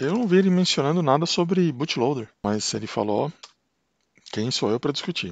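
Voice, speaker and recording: A man's fairly high voice at a moderate pace against a quiet background. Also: dry, close sound with no echo. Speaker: tech YouTuber. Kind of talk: tutorial. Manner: casual, hesitant with repetitions.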